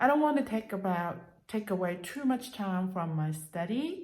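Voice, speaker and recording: Amid audible room echo, a woman with a somewhat breathy, medium-pitched voice speaks with lively intonation. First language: Cantonese and Mandarin. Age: 50s. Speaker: language learning vlogger. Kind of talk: casual vlog monologue. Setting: at home. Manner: halting, many fillers.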